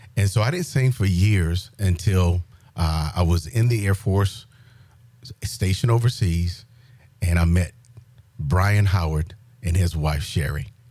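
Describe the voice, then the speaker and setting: A man with a very deep, low pitch and a dark, mellow tone sounds somewhat breathy, showing ordinary pitch variation and long, frequent pauses. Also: fairly slow pace, very even loudness. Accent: South Carolina. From US South, rural South Carolina. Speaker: military retiree sharing faith testimony. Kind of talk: testimony.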